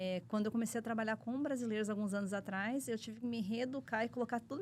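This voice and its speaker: A woman speaks at a fairly high pitch. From United States, from age 5 (born in São Paulo). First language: English (speaking Portuguese). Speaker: accountant. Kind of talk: interview.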